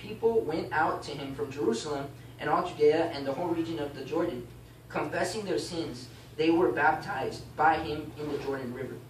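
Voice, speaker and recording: A man at a fairly quick pace with ordinary pitch variation, light background noise and audible room echo. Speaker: class teacher. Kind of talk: bible class teaching, reading aloud and explaining. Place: classroom. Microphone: camera far.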